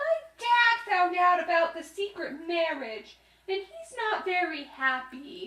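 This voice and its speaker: In a cartoonish character voice, a female-sounding voice speaks at an extremely high pitch and a fairly slow pace. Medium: puppet.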